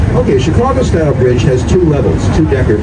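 Against loud background noise, a man speaks at a very fast pace. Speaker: boat tour guide. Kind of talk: tour guide commentary. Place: boat.

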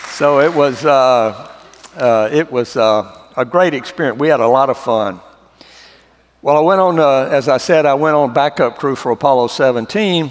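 A man with a Southern US accent talks at a fairly high pitch with ordinary pitch variation. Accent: Southern drawl. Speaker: former astronaut. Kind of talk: church testimony talk.

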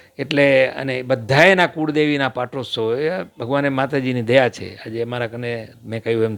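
A plain, everyday voice from a man, medium in pitch, with ordinary pitch variation. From Kutch, Gujarat (Vagad, Rapar). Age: 60s. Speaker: former electricity contractor and local politician. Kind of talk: interview.

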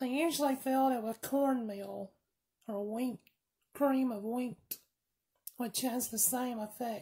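The woman's voice is high yet dark and mellow in tone, with fairly even intonation. She goes at a fairly slow pace with long, frequent pauses over a quiet background. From US South. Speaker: firearms video creator. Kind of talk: tutorial. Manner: rambling, casual. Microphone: phone near.

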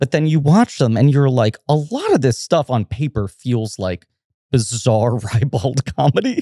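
The voice is somewhat breathy with a dark, mellow tone and ordinary pitch variation, at a fairly slow pace. The sound is dry and close, with no echo. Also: man, medium pitch for a man. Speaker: film podcast host. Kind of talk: casual chat.

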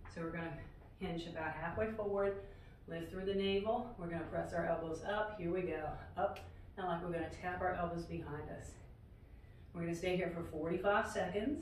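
Over light background noise and audible room echo, a woman speaks at a fairly quick pace with fairly even intonation and a fairly low pitch. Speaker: fitness instructor. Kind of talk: workout instruction. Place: empty room. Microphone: camera far.

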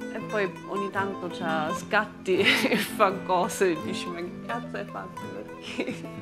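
A woman at a very slow pace with hardly any pauses, clear music in the background. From Germany. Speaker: German woman living in Naples. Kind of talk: documentary interview answer. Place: open country.

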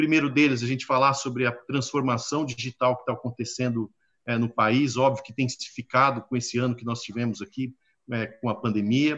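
A man's medium-pitched voice, flat and monotone, at a fairly quick pace against a quiet background. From Brazil. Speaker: panel moderator, exchange director; panel moderator. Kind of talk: live-streamed panel discussion. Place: office. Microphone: video call.

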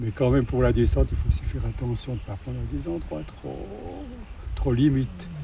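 Very deep, low male speech at a moderate pace, with very wide pitch swings and noticeable background noise. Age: 80s+. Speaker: retired ski mountaineer. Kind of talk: interview answer. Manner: speaks little, plain-spoken.

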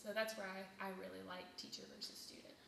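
A woman is heard with audible room echo. There is light background noise. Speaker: choir teacher. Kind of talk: interview answer. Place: classroom. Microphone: phone near.

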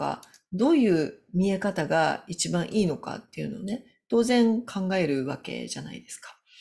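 A woman's dark, mellow, somewhat breathy voice at a moderate pace, with very wide pitch swings. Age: 50s. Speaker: business consultant; business coach. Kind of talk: solo video talk. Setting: home. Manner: halting. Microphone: webcam.

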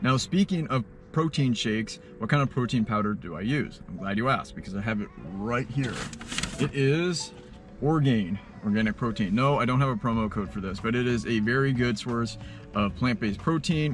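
Clear music plays behind a man's voice. The sound is dry with no echo. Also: moderate pace. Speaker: food vlogger. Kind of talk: casual vlog chat. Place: car. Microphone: phone near.

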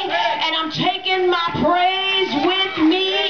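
Amid noticeable background noise, a woman speaks at an extremely high pitch. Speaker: church member performing a spoken word poem. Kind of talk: spoken word poem delivered at a church revival. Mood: triumphant, praising. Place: tent. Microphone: pa.

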